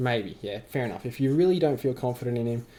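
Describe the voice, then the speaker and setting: Medium-pitched man with an Australian accent, dark, mellow tone and a fairly quick pace. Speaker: fantasy football youtuber. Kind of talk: casual vlog commentary. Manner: halting, filler-heavy.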